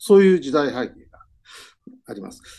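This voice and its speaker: This man speaks at a moderate pace with lively intonation and a dark, mellow tone. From Aichi, Anjo. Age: 60s. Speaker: newspaper reporter. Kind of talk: interview. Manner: hesitant, many fillers.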